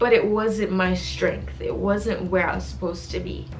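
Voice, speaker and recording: A woman talks at a fairly slow pace. There is music in the background. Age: 20s. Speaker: architecture student. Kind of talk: casual talk to camera.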